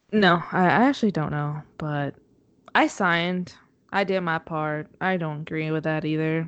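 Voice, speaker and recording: A woman's fairly low voice at a moderate pace, fairly even in intonation, over a quiet background. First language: Spanish. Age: 20s. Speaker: podcast co-host, mother. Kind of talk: casual chat. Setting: remote call from home.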